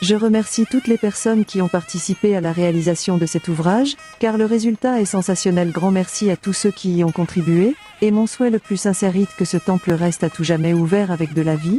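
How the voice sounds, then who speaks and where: With music in the background, a woman at medium pitch talks at a fairly quick pace with ordinary pitch variation and very even loudness in a dry, close sound with no echo. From Réunion, Sainte-Rose. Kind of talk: testimony.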